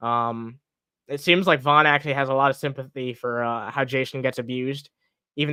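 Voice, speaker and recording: A man mumbling at a very fast pace, medium in pitch, with monotone, flat intonation. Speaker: streamer commenting on online personalities. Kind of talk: live stream commentary. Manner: mumbling, stumbling over words; casual, profane.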